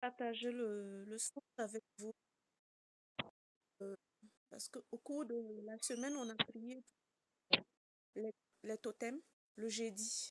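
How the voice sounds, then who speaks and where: A woman speaks very slowly with long, frequent pauses. Her pitch is fairly high, her intonation fairly even, and the sound dry and close with no echo. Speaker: prayer group member. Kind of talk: testimony. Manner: halting.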